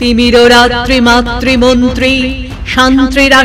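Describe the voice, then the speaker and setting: A woman speaks in a high voice while music plays in the background. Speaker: poetry reciter. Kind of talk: poetry reading. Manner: rousing, declamatory.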